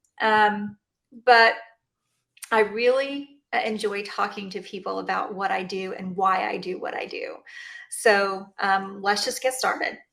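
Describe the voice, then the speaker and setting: A woman with a Texan accent, at a fairly slow pace, with big swings in loudness and long, frequent pauses. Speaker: chiropractor. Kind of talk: interview. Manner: halting, many fillers.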